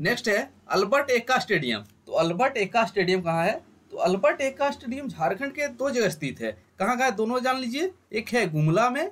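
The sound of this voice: The speech moves at a fairly quick pace with big pitch swings. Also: few pauses, fairly bright tone.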